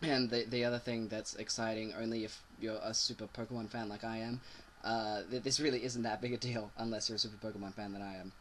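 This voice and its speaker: A man speaks with a bright, sharp tone. His pace is moderate. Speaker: video game news host. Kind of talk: casual talk to camera.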